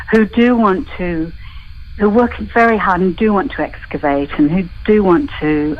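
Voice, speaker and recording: A woman speaks over noticeable background noise. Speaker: dialect and voice coach. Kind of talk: interview.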